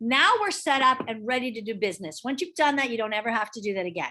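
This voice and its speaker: A woman speaks in a high pitch against a quiet background. Her bright, sharp tone swings very widely in pitch. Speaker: real estate trainer. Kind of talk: online training session. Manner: fast. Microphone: video call.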